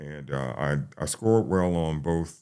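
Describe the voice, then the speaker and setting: A man with an American accent, very deep and low-pitched, with ordinary pitch variation. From New York, the Bronx. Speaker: firefighter. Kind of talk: interview. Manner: halting.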